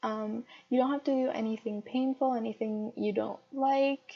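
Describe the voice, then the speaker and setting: Delivered at a fairly slow pace, an ordinary speaking voice carries ordinary pitch variation. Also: woman. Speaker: yoga teacher. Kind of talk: yoga class instruction voiceover. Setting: voiceover recorded over video.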